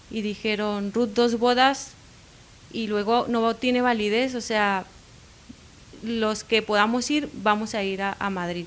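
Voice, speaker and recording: An unremarkable speaking voice from a woman, fairly high in pitch, fairly even in intonation and fairly slow in pace. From Mexico, Baja California Sur. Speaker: pastor's wife. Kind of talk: interview.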